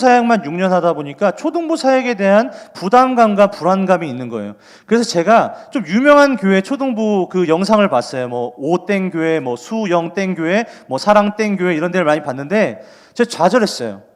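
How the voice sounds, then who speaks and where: The speaker is a man with a high pitch. His pitch swings very widely. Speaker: junior pastor for children. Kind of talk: sermon. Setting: online broadcast without live audience. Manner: fast.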